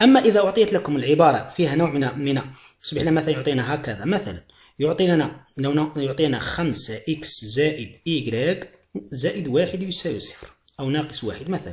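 A man with a fairly high pitch speaks at a moderate pace, his intonation lively and his voice somewhat breathy. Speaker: math teacher. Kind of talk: video lesson tutorial. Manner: repetitive, emphatic teaching.

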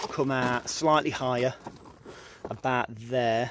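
A man speaks in a monotone, flat intonation, the sound dry with no echo and light background noise behind him. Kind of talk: casual vlog chat explaining work. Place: street. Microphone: phone near.

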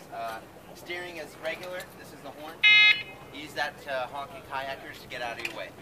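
Loud background noise behind a man talking at moderate speed. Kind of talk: safety briefing instructions. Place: waterside. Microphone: camera far.

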